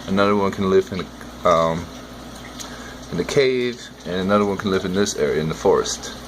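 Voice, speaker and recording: Mumbling at a moderate pace in a relaxed tone, a man with a fairly low pitch and ordinary pitch variation is heard over noticeable background noise. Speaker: aquarium hobbyist vlogger. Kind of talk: casual video commentary. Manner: relaxed, rambling.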